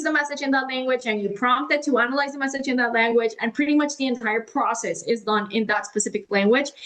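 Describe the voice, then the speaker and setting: A woman with a Spanish accent speaks in a high voice with ordinary pitch variation. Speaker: AI and automation consultant. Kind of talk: podcast interview. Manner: casual, filler-heavy.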